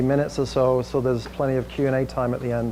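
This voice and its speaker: Talking at a very fast pace, a man of medium pitch with an English accent keeps a monotone, flat intonation. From England, Manchester. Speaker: tech industry executive presenting. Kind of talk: presentation to a small audience. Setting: room with audience and screen. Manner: casual with frequent fillers.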